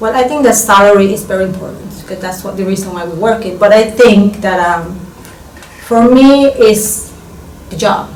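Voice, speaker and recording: Against noticeable background noise, a woman with a Panamanian accent talks at a moderate pace in a medium-pitched voice with fairly even intonation. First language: Spanish. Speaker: business student. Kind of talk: interview answer.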